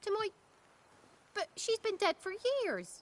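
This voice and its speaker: A woman's put-on character voice, squeaky and extremely high, with a weary tone at a moderate pace, in a dry, close sound with no echo. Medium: video game. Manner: rustic, weary.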